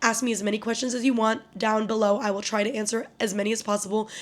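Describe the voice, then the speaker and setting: This woman's voice sits fairly high. She talks very fast. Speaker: youtuber. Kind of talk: vlog outro to camera. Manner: animated.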